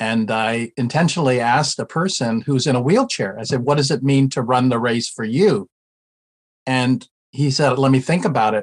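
An unremarkable speaking voice from a man with an American accent, medium in pitch. He talks at a moderate pace with ordinary pitch variation. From United States. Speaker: retired ministry professor and former pastor. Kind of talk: interview.

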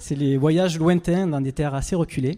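A man speaks in a Provençal accent with a dark, mellow tone. His moderate pace and ordinary pitch variation come through a very clean recording with a silent background. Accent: singsong southern French (Provence). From southern France, Avignon. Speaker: expedition adventurer, speaker. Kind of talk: stage talk.

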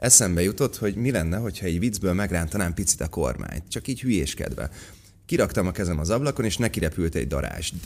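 Very fast and with lively intonation, a man talks in a very deep, low voice with vocal fry. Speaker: actor. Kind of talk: casual chat.

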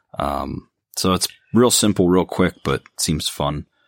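A man at a moderate pace, dry and close with no echo, on a very clean recording with a silent background. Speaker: board game podcast co-host. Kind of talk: casual chat.

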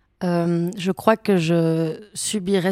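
A woman's fairly low voice, fairly even in intonation, with a dry, close sound with no echo on a very clean recording with a silent background. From Belgium, Brussels. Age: 20s. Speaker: actress. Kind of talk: casual interview. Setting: hotel room.

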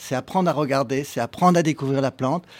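A man talks at a very fast clip with ordinary pitch variation. The recording is very clean, with a silent background. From Paris, France. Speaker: urban gardener, company founder. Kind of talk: live radio panel discussion. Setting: live broadcast at public event.

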